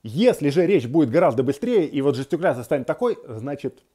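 A man speaks in a fairly high pitch with very wide pitch swings and a dark, mellow tone. The background is quiet. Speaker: psychologist; guest. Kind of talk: self-help tutorial. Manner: calm, measured. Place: home room. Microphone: earbuds.

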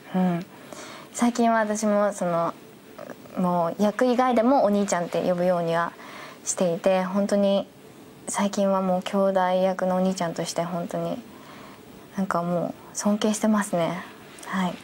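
At a fairly slow pace with long, frequent pauses, the speech keeps fairly even intonation over light background noise. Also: woman. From Nagoya, Japan. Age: 20s. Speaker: young actress in a superhero TV series. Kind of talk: interview about her role and cast. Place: studio.

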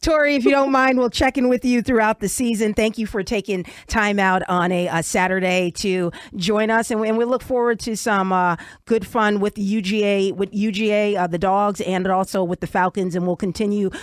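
A woman talks at a moderate pace with ordinary pitch variation. The background is quiet and the sound is dry, without echo. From New York. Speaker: talk radio host. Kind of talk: radio interview. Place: studio.

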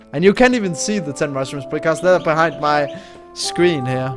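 Clear music plays in the background while a man speaks with lively intonation. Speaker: gamer. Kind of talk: casual gameplay commentary. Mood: relaxed, mildly puzzled.

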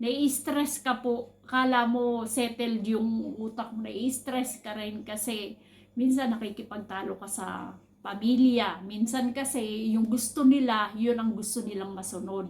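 A woman talks at a fairly high pitch and a fairly slow pace, sounding somewhat breathy. Her intonation is fairly even, while her loudness swings widely. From Philippines. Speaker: overseas worker vlogger, caregiver. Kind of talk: personal vlog monologue.

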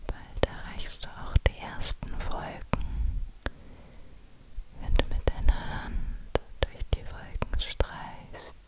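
A soft-spoken woman whispering at a very slow pace with long, frequent pauses, dry sound with no echo, and loud background noise. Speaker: relaxation narrator. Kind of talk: guided meditation, soft ASMR-like storytelling. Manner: soft intimate whisper into the mic. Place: home room. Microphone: studio mic.

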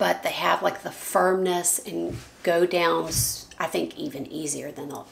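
A woman speaks at a fairly low pitch and a fairly slow pace, raspy with vocal fry. Her pitch moves little, and room echo is audible.

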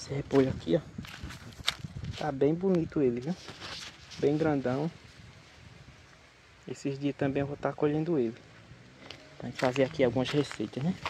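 The man pauses long and often, with ordinary pitch variation. Noticeable background noise surrounds a dry sound with no echo. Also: moderate pace. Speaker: small farmer vlogger. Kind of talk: casual vlog chat. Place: garden. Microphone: phone near.

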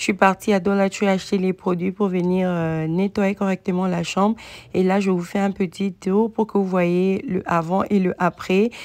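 A woman talks at a moderate pace and medium pitch. Her tone is slightly mellow, with little pitch movement.

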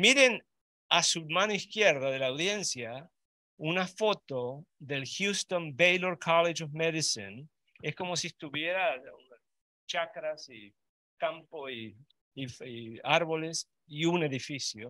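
A man with a fairly high pitch speaks very slowly with lively intonation and big swings in loudness, in a dry, close sound with no echo. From Uruguay. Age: 70s. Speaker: vascular surgeon. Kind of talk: lecture.

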